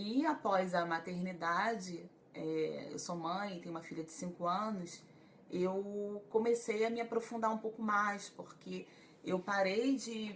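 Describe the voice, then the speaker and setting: At a fairly slow pace, a woman talks in a plain, everyday voice, medium in pitch with ordinary pitch variation. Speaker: psychologist. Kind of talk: live stream talk to viewers. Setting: Facebook live stream.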